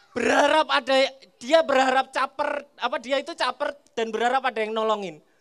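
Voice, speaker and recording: A man's playful, high-pitched voice at a fairly quick pace, over a quiet background. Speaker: stand-up comedian. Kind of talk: stand-up comedy set. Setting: stage with audience at a school. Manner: playful crowd banter, teasing audience members. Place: stage. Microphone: handheld.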